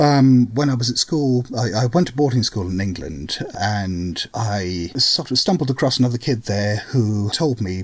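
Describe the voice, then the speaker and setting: Somewhat breathy, a man's voice makes very wide pitch swings. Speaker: tabletop game scenario writer. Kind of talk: casual interview chat.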